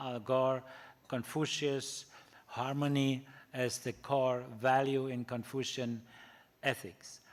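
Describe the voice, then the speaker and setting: In a German accent, a man talks at a very slow pace with monotone, flat intonation and long, frequent pauses. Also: medium pitch for a man. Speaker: ethics professor. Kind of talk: lecture. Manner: halting, many fillers.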